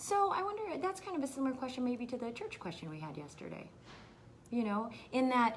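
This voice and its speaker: There is a somewhat breathy quality to this woman's voice. She speaks fairly quickly. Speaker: county health officer. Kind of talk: live Q&A stream. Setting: livestream video. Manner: many fillers and hesitations.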